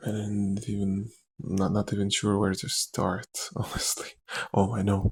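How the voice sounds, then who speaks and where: In a fairly low pitch and a somewhat breathy voice, a man speaks at a fairly slow pace. His intonation is monotone and flat. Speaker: actor. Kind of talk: rambling ASMR talk to camera. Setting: lo-fi recording.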